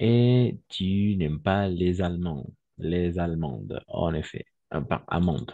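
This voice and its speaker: Lively intonation marks this man's very slow delivery. His pitch is very deep and low. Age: 30s. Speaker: French teacher. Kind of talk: online class.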